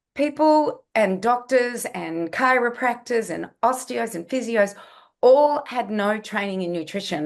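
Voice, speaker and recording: Against a quiet background, a woman with an Australian accent speaks with lively intonation. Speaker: nutritionist. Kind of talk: interview.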